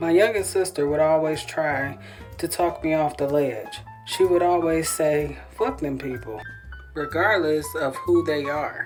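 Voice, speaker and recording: Over music in the background, a woman's very deep, low voice moves at a fairly slow pace with lively intonation. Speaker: author. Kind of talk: personal memoir audiobook reading.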